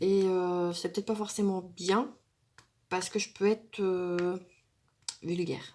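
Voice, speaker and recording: A woman at a medium pitch speaks very slowly with fairly even intonation, leaving long, frequent pauses. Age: 40s. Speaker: craft YouTuber. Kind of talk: casual tag video monologue. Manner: hesitant, many fillers.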